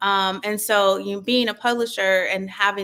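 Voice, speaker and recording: Here a woman with an American accent speaks at a moderate pace and medium pitch. Her tone is bright and sharp, her intonation monotone and flat. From US Midwest, Cleveland, Ohio. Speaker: author and publisher. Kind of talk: interview conversation.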